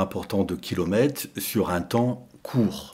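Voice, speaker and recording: Dark and mellow in tone, a man's voice moves at a very slow pace. His pitch variation is ordinary. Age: 60s. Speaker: long-distance cyclist. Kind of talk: interview. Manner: hesitant, many fillers.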